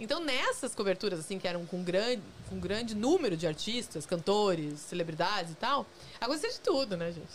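Over noticeable background noise, a woman at medium pitch speaks at a fairly quick pace with lively intonation. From Curitiba, southern Brazil. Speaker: journalist. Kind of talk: casual chat. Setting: studio.

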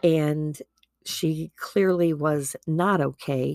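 A woman's very deep, low voice with a Midwestern accent, dry and close with no echo, on a very clean recording with a silent background. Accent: Midwest. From US Midwest, Wisconsin. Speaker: podcast host. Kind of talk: personal monologue. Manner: casual, chatty.

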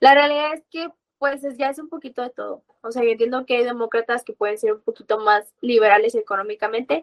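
A woman's fairly high, fairly quick delivery with ordinary pitch variation and an unremarkable speaking voice. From Mexico. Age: 20s. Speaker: university student and libertarian activist. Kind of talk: interview.

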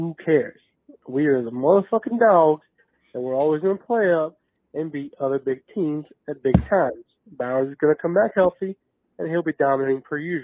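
Fairly quick speech from a man with an American accent, fairly high pitch and lively intonation. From Athens, Georgia. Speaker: voicemail caller, college football fan. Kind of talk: fan voicemail rant. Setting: phone voicemail. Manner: animated.

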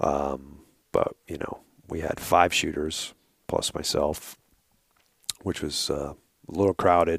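A man's very slow delivery, broken by long, frequent pauses. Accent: New York. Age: 40s. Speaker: hunting outfitter and podcaster. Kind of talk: casual interview chat. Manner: halting.

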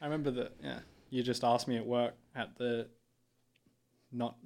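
A man with an Australian accent at a medium pitch and fairly quick pace. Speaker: university student. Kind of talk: casual interview chat. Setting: studio.

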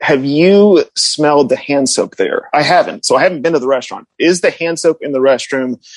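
A man with an American accent, a normal speaking voice, fairly high pitch and ordinary pitch variation, hardly any pauses, in a dry, close sound with no echo. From US Northeast, Connecticut suburbs. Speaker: food writer. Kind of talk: casual chat.

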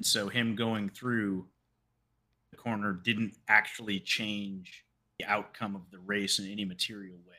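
In a very clean recording with a silent background, a man speaks at a fairly slow pace with a fairly low pitch, a bright, sharp tone, monotone, flat intonation, and big swings in loudness. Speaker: podcast co-host. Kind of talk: casual chat.

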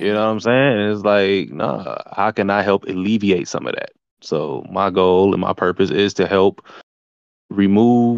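With an ordinary speaking voice, a man talks at a fairly slow pace, his pitch fairly low and his intonation fairly even. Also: quiet background. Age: 30s. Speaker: entrepreneur and ex-athlete. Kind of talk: casual chat.

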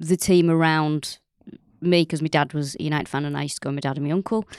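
A woman talks at a very fast pace in a Mancunian accent. The background is quiet. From North Manchester, England. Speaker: comedian and podcaster. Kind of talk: casual chat.

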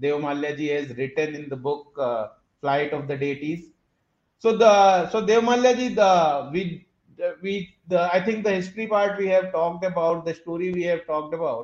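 A man's high voice carries ordinary variation in pitch. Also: moderate pace. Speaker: podcast host. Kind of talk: interview.

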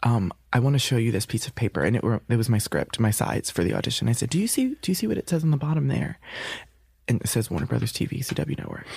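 A man with an American accent talks at a very fast clip, his pitch swinging very widely. Vocal fry runs through his voice. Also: medium pitch for a man. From New York. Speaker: actor. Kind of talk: interview.

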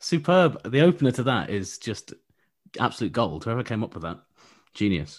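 A man of medium pitch talks at a fairly quick pace with long, frequent pauses, very wide pitch swings and vocal fry. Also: very clean recording, silent background. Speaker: F1 journalist. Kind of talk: casual banter.

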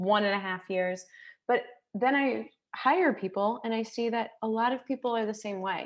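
In a normal speaking voice, a woman talks at a moderate pace with fairly high pitch and ordinary pitch variation. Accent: American. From United States. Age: 30s. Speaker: television commercial producer and author. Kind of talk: casual chat.

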